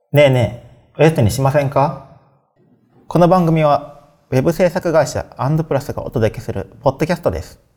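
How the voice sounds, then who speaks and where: A man with a fairly high pitch, a dark, mellow and somewhat breathy tone, a moderate pace and big swings in loudness. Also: ordinary pitch variation. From Japan, Kyoto. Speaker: podcast host, web engineer. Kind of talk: scripted show opening.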